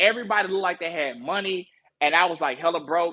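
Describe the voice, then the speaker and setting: With a strong Southern US accent, this man has a high-pitched voice and a bright, sharp tone. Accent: Southern US, still strong. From US South, Marianna, Arkansas. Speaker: music industry promotion director. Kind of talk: casual podcast interview. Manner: halting, many fillers and restarts.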